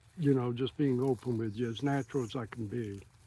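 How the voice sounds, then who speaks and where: A dark, mellow tone from a man. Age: 70s. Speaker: long-distance walker and vlogger. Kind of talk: personal vlog monologue. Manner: halting.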